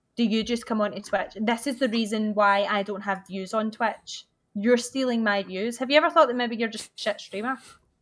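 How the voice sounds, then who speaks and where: With a Glaswegian accent, a woman talks at a fairly quick pace in a fairly high pitch, using ordinary pitch variation and hardly any pauses. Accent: Glaswegian Scottish. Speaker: video game speedrunner and streamer. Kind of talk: casual chat. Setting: online call.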